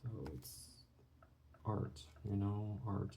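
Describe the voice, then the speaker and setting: Recorded with audible room echo, a man with vocal fry speaks very slowly at a fairly low pitch, his pitch swinging very widely. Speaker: art channel creator. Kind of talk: drawing tutorial commentary. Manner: soft-spoken; halting.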